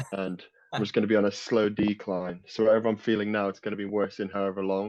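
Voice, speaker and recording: A man talks at a very fast pace in a fairly low pitch. His intonation stays monotone and flat. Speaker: natural bodybuilder. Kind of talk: casual chat.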